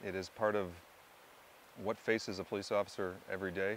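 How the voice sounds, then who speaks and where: A man is speaking at a fairly quick pace. His pitch sits fairly low. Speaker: actor auditioning as show host. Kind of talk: audition reel self-introduction; scripted narration.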